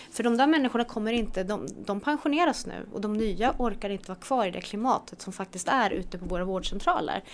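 A woman's fairly high voice at a very fast pace, lively intonation and hardly any pauses. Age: 40s. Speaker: health entrepreneur. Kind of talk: casual interview.

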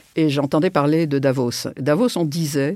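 In a dry, close sound with no echo, a woman with a dark, mellow tone speaks at a moderate pace. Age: 70s. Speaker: serial entrepreneur. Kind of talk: interview.

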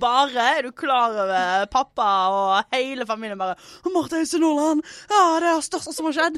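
A woman talks at a moderate pace with a high pitch that swings very widely. The recording is very clean, with a silent background. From Western Norway, Stord/Fitjar. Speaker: comedian. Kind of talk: casual chat.

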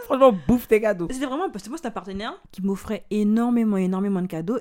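Her tone is dark and mellow. The woman talks at a very fast pace. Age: 20s. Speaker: podcast guest, friend of the host. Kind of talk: casual chat. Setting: recorded in the host's bed.

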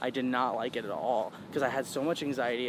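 Through noticeable background noise, a man with an American accent speaks at a very fast pace. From New York and North Carolina. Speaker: music producer and DJ. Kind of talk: casual interview.

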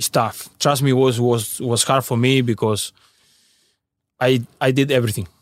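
Pausing long and often, a man speaks at a moderate pace with a Spanish accent, a medium pitch and monotone, flat intonation. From Uruguay (Salto). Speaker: professional footballer. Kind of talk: casual interview. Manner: halting, repeated words.

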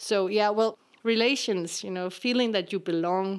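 A woman speaks with a Danish accent. Her intonation is fairly even. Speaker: actress. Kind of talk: personal testimony.

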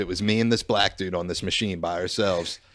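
On a very clean recording with a silent background, a man with an American accent and a plain, everyday voice talks at a fairly quick pace with ordinary pitch variation. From Philadelphia area, US. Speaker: podcast host. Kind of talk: casual chat. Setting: studio.

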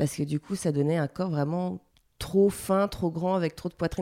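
In a very clean recording with a silent background, a woman with a dark, mellow, fairly low-pitched voice speaks at a moderate pace with fairly even intonation. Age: 30s. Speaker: lingerie designer. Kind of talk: personal testimony interview. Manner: hesitant, many fillers.

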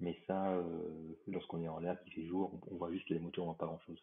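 A man talks with a very deep, low pitch and monotone, flat intonation. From Réunion. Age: 50s. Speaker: airline pilot. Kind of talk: interview.

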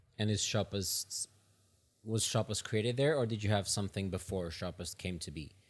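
Recorded very cleanly against a silent background, a man speaks at a fairly low pitch and a moderate pace, somewhat breathy, with ordinary pitch variation. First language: not English. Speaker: podcast host. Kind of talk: interview conversation. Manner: halting.

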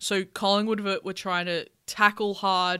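In an Australian accent, a woman speaks at medium pitch with a bright, sharp tone. The recording is very clean, with a silent background. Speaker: podcast host. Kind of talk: casual chat. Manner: laughs often, upbeat.

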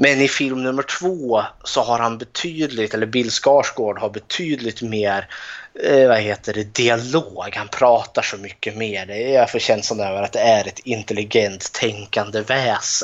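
Speaking at a fairly slow pace, a man with a normal speaking voice keeps a medium pitch and ordinary pitch variation. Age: 30s. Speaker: podcast co-host. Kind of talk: casual chat.

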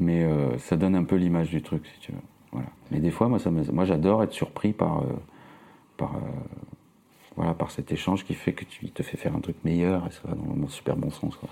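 A man with a very deep, low voice speaks at a fairly quick pace with lively intonation. He takes long, frequent pauses. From Nice, southern France. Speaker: film poster designer. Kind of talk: casual interview.

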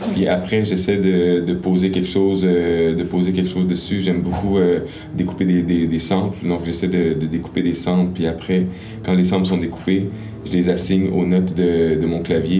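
A man's very deep, low pitch in a monotone, flat intonation, at a moderate pace and very even loudness, with audible room echo and music in the background. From Quebec, Gatineau. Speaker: rapper. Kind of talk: casual interview.

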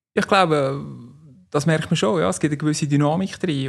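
The man has a Central Swiss accent and a fairly high pitch. He speaks at a moderate pace. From Switzerland, canton Nidwalden. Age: 40s. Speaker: business executive, former amateur footballer. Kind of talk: interview.

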